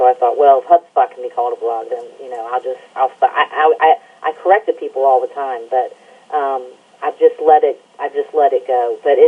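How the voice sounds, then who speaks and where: The speech comes at a fairly quick pace in an Alabama accent. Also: woman. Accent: Southern US (Alabama). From Alabama, US South. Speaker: environmental news site editor and radio show host. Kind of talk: interview.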